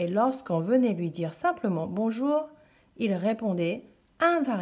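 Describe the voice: The speaker simply reads aloud, the intonation lively throughout.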